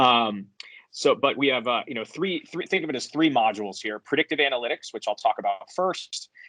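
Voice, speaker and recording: A man with an American accent speaks at a fairly quick pace in a bright, sharp tone. His voice is fairly high with lively intonation, and the sound is dry and close with no echo. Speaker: software company founder and CEO. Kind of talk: conference presentation. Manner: hesitant, frequent fillers.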